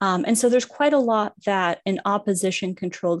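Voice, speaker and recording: This is an ordinary speaking voice from a woman at medium pitch. She keeps a moderate pace with lively intonation. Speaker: political scientist. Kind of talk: panel discussion. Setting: video call.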